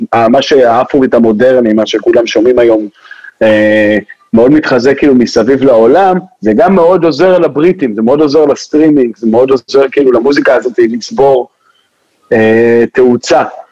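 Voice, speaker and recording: Talking at a fairly quick pace in an ordinary speaking voice, a man keeps a medium pitch with ordinary pitch variation and very even loudness. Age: 20s. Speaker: DJ. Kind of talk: casual chat. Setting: studio.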